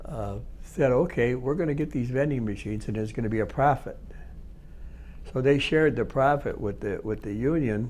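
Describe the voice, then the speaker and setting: A man with vocal fry, ordinary pitch variation and a fairly quick pace. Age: 80s+. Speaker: retired factory worker and union representative. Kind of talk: oral history interview. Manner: halting, many repetitions and false starts.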